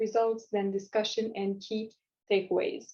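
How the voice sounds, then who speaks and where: This woman speaks with a Quebec accent. Her voice is fairly high and her pace fairly slow. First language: French. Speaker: community psychology student presenter. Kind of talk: recorded conference presentation. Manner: hesitant, many fillers and restarts.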